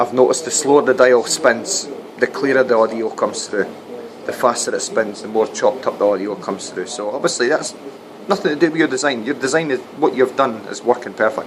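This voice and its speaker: Speaking with a Scottish accent at a fairly quick pace, a man with a medium-pitched voice is heard over noticeable background noise. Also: ordinary pitch variation. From Scotland, Dundee. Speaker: radio technician and doorman making paranormal videos. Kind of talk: casual vlog monologue. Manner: halting, with repetitions.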